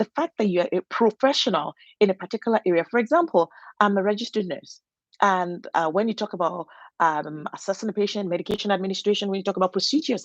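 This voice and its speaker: A woman with a non-native accent at medium pitch, very fast and lively in intonation, dry and close with no echo over a quiet background. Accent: noticeable foreign. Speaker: registered nurse and channel host. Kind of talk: motivational talk. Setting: solo home recording. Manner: halting, with frequent fillers and restarts.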